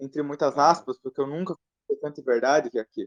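The sound is dry and close with no echo as a man talks at fairly high pitch with ordinary pitch variation. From southern Brazil. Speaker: live stream participant. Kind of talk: casual chat. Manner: halting.

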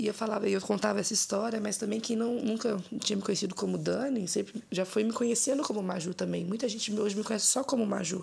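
A woman talks at a very fast pace with hardly any pauses and very even loudness. Her intonation is fairly even, with noticeable background noise behind her. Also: fairly high pitch for a woman. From Minas Gerais, Brazil (Ouro Preto area). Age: 20s. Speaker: rapper. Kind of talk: casual interview.

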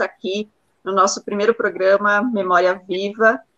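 The woman speaks at a moderate pace in a medium pitch. Her tone is bright and sharp, and her intonation is fairly even. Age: 30s. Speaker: university professor and union official hosting the show. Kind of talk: interview.

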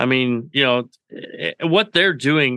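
At a moderate pace, a man with an unremarkable speaking voice talks at a medium pitch with ordinary pitch variation. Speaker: radio co-host. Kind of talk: casual sports talk.

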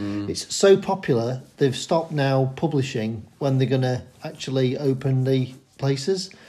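In a Yorkshire accent, the voice is dark, mellow and somewhat breathy, moving at a fairly slow pace. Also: man. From Sheffield, Yorkshire. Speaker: local runner. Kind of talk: casual chat.

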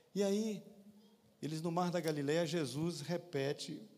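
A man talks at a fairly slow pace with a fairly high pitch and ordinary pitch variation. Audible room echo surrounds his voice. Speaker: lay preacher and physician. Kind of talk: sermon.

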